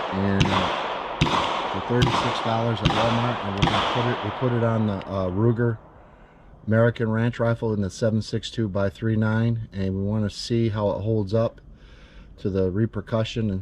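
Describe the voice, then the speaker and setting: Noticeable background noise sits behind a man's voice. He speaks in a monotone, with flat intonation. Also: medium pitch for a man, moderate pace. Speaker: preacher and pastor. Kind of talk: casual talk to camera. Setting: outdoors.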